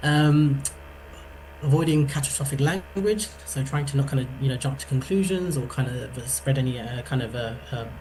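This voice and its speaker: A man speaks at a medium pitch with ordinary pitch variation. Audible room echo and noticeable background noise surround him. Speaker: psychology workshop presenter. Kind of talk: online workshop talk. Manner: fast.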